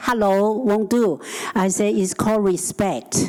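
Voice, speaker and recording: A medium-pitched woman with a Chinese accent, at a fairly slow pace. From Hong Kong. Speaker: housing advocate. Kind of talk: panel discussion. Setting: conference stage with audience.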